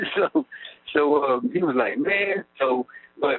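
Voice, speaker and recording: A man with an Arkansas accent speaks with lively intonation. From Arkansas, Texarkana area. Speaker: prison inmate. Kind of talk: interview. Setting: prison phone call. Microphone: prison phone line.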